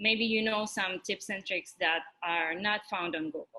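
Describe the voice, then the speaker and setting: A woman at medium pitch with a Russian accent, speaking at a fairly slow pace. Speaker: physics teaching assistant. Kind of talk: orientation talk. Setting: virtual orientation.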